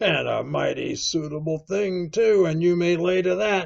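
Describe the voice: Using a put-on character voice with vocal fry, a man speaks at a fairly high pitch with ordinary pitch variation and a fairly slow pace.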